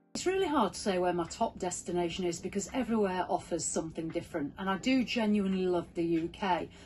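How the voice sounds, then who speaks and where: Delivered at a very fast pace with hardly any pauses, this voice has a Yorkshire accent. Its pitch varies in an ordinary way. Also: woman, medium pitch for a woman. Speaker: motorhome travel vlogger. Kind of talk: interview answers, casual advice.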